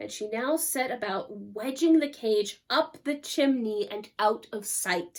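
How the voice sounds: A natural reading voice carries the whole clip.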